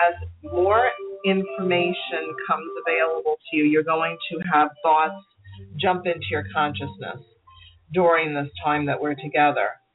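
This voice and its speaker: A woman at a very deep, low pitch with ordinary pitch variation and a fairly slow pace, music in the background. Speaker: meditation teacher and author. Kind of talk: guided meditation. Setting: online radio show, phone callers. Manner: slow, soothing, calm, with long quiet pauses; gentle, hushed, measured.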